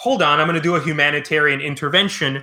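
A man's voice with a bright, sharp tone. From Cuba. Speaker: history podcast host. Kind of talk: casual interview. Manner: halting, many fillers.

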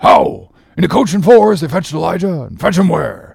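A man puts on a character voice at a moderate pace, fairly high in pitch, with big pitch swings and vocal fry.

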